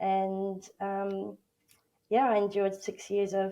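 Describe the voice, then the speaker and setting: A woman with an Australian accent speaks at a medium pitch. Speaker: workplace bullying advocate and coach. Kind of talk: interview testimony. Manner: halting, many fillers.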